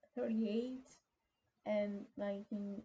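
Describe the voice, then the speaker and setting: A woman speaks fairly slowly with a non-native accent. Her tone is dark and mellow, and somewhat breathy. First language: not English. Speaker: YouTuber. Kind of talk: casual explainer, partly reading aloud. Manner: halting.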